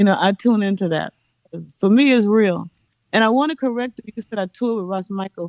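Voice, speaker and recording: A woman with an American accent speaks at a fairly quick pace in an ordinary speaking voice of medium pitch, with ordinary pitch variation and a dry, close sound with no echo. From Los Angeles, Watts/Compton. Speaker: reggae singer. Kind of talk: interview.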